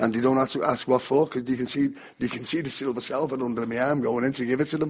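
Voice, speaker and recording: A man speaks at a very fast pace at a medium pitch. His intonation is monotone and flat. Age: 60s. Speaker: football fan. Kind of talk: interview.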